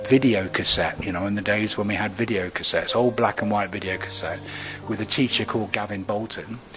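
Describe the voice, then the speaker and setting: A man speaking with music in the background. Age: 70s. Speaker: drama education professor. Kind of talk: interview.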